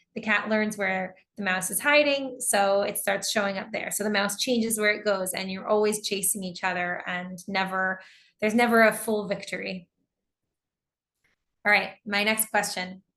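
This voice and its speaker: An ordinary speaking voice with an American accent, fairly even intonation and a moderate pace, over a quiet background. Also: woman, medium pitch for a woman. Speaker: English teacher. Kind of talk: online lecture.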